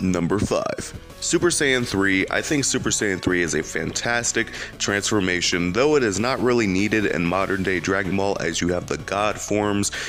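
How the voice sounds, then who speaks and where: Over music in the background, a man speaks at a moderate pace in a fairly low pitch, with ordinary pitch variation and very even loudness. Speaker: anime YouTuber. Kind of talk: video commentary.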